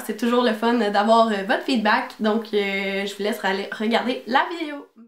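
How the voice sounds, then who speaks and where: A woman speaks at a fairly slow pace with a fairly high pitch and ordinary pitch variation. Noticeable background noise can be heard. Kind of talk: casual talk to camera.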